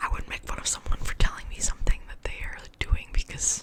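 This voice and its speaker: Noticeable noise fills the background. Over it, a woman whispers at a moderate pace. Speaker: ASMR creator. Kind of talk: ASMR whisper ramble. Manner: soft-spoken, whispered, casual, rambling.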